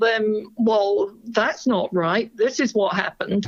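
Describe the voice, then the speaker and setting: This is a woman with a British accent. Her pitch sits fairly high. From Britain. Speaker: family history researcher. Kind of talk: interview.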